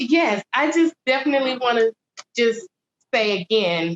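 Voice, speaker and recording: Lively intonation in a Southern US accent at a fairly slow pace, with a dry, close sound and no echo. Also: woman. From Atlanta, Georgia. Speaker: poet. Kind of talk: interview answer. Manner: soft-spoken.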